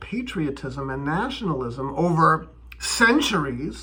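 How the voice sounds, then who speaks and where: Audible echo fills the room. In it, a man speaks very slowly. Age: 50s. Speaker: video blogger on bitcoin and politics. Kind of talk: casual monologue. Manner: hesitant, with many fillers and repetitions.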